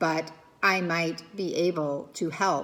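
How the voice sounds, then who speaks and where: A woman's put-on character voice, fairly low-pitched and fairly slow. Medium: read story. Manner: calm, measured.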